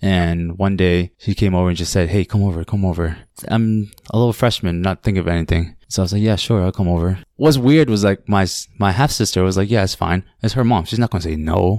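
Very deep and low, a man's voice moves at a fairly quick pace with ordinary pitch variation on a very clean recording with a silent background. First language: Khmer. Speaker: listener sharing a paranormal story. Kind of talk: personal storytelling. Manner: halting.

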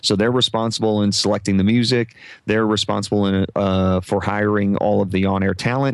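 Against a quiet background, a man with a Midwestern US accent talks at a fairly quick pace in a fairly low pitch. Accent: US Midwest. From Omaha, Nebraska. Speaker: podcast coach and former radio broadcaster. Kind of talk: casual interview chat. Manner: halting, frequent repetitions.

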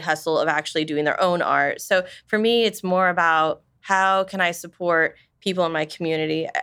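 A woman's bright, sharp voice, fairly low in pitch, with an American accent, flat monotone intonation and a moderate pace, on a very clean recording with a silent background. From Wichita, Kansas. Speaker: small business owner. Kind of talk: interview.

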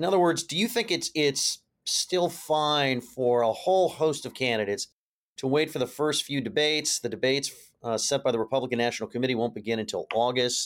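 A man with an unremarkable speaking voice talks at a fairly quick pace, his pitch fairly high and his intonation lively. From California, US. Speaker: political journalist and podcast host. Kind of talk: interview.

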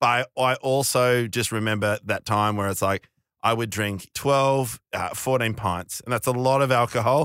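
At a moderate pace and medium pitch, a man talks in a plain, everyday voice with fairly even intonation. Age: 40s. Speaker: stand-up comedian. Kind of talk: casual chat. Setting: studio.

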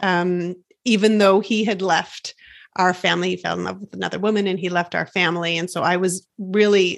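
This woman talks at a moderate pace in a medium pitch, her intonation flat and monotone. The background is quiet. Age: 40s. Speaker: life coach and podcast host. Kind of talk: casual interview chat.

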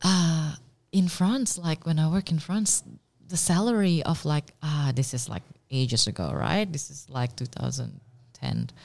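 A woman speaks at a fairly slow pace in a very deep, low voice that is somewhat breathy, with lively intonation. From Indonesia. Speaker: pastry chef and dessert business owner. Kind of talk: interview.

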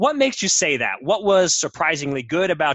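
A man speaks at a fairly quick pace. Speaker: podcast host and editor. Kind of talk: casual podcast chat.

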